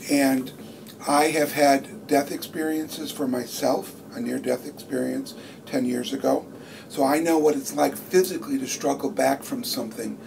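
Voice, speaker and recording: Moderately paced male speech against noticeable background noise. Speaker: stage actor. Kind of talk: interview.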